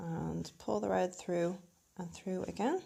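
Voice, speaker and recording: At a very slow pace, a woman speaks in an Irish accent. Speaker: crochet instructor. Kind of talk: craft tutorial to camera.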